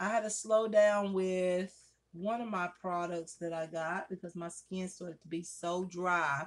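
A woman speaks at a fairly slow pace and a fairly low pitch over a quiet background. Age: 40s. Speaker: beauty vlogger. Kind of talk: makeup tutorial. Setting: at home by a window. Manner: casual, chatty. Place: home room. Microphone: phone near.

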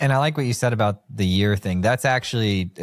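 Speaking at a very fast pace, a man uses lively intonation. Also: quiet background. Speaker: podcast host. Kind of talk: casual interview chat. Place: studio. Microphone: studio mic.

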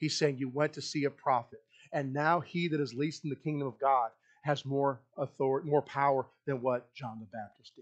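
A man with an ordinary speaking voice talks at a fairly quick pace and a fairly high pitch, his intonation fairly even but his loudness swinging widely, against a quiet background. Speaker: pastor. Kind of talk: sermon. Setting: church. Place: church.

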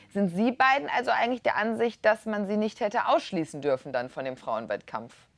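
A woman with vocal fry and a medium pitch speaks at a fairly quick pace with hardly any pauses and very wide pitch swings, in a dry sound with no echo. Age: young. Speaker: talk show host. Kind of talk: moderated TV debate. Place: studio. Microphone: lapel.

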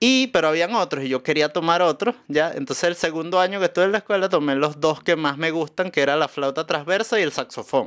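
A man's high-pitched voice at a very fast pace, with ordinary pitch variation and very even loudness, over a quiet background. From Venezuela, Caracas. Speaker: musician and comedian; comedian. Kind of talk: casual chat. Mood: cheerful, animated storytelling. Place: studio. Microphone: studio mic.

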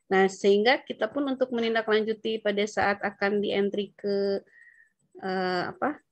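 A woman speaks at a moderate pace. The sound is dry with no echo, and the background is quiet. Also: fairly even intonation. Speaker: local tax official. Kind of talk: training discussion. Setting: video call. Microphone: video call.

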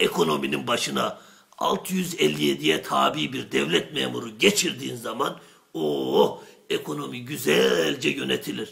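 A man puts on a cartoonish character voice with a very deep, low pitch. He speaks at a fairly slow pace. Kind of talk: traditional shadow-puppet comedy. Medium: comedy sketch. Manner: boastful, rambling, coarse, fast.

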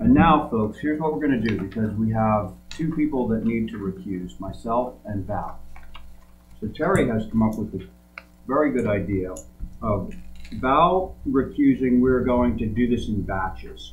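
A man at a moderate pace over light background noise. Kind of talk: chairing a public meeting. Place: meeting room. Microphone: podium.

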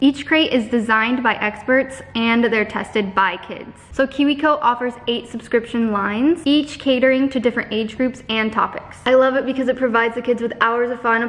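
Her voice high, a woman speaks at a fairly quick pace with fairly even intonation. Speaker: family vlogger. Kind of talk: casual vlog chat, sponsor read. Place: kitchen. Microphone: phone near.

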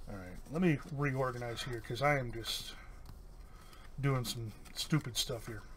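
Against light background noise, a man talks at a moderate pace, leaving long, frequent pauses. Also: ordinary pitch variation, big swings in loudness. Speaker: YouTube card-game channel host; card opening streamer. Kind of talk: casual booster box opening. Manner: hesitant, many fillers. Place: home room.

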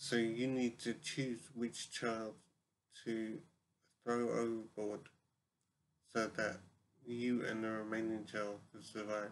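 Over light background noise, a man talks at a very slow pace in monotone, flat intonation with long, frequent pauses. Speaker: vlogger posing a question. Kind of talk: casual vlog chat. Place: home room. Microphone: webcam.

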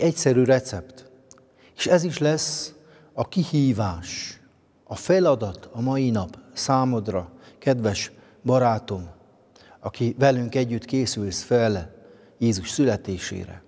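Over a quiet background, a man with a medium-pitched, dark, mellow voice talks at a very slow pace with long, frequent pauses. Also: lively intonation. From Transylvania, Romania (Székely Land); Transylvania, Romania. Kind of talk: spiritual reflection. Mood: calm, warm, devotional. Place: church.

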